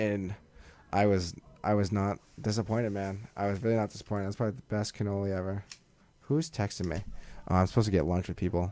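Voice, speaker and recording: Talking at a very fast pace with long, frequent pauses, a man with a Massachusetts accent has a fairly low pitch, fairly even intonation and a dark, mellow tone. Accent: Massachusetts, noticeable in certain words. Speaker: podcast host. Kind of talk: casual chat. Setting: studio.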